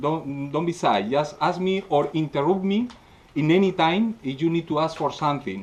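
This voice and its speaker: Speaking at a moderate pace, a man talks with a Spanish accent. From Spain. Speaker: scale model painting instructor. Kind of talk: workshop demonstration. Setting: live audience at a convention. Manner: halting, many filler sounds.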